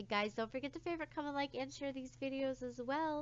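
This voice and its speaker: High pitch from a woman, with ordinary pitch variation and a fairly quick pace. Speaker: gaming YouTuber. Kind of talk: casual gameplay commentary. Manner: long pauses between speech; casual, filler-heavy.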